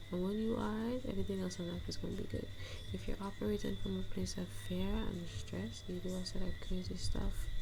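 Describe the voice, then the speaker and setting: Soft-spoken and fairly quick, a woman talks in a gentle, relaxed tone over music in the background. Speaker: manifestation coach and content creator. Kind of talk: ASMR chit chat, casual talk to camera. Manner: soft-spoken, gentle, relaxed.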